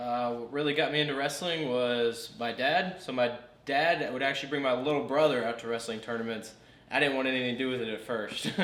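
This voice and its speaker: A man's fairly quick speech with fairly even intonation, audible room echo and noticeable background noise. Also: medium pitch for a man. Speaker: former high school wrestler. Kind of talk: casual interview.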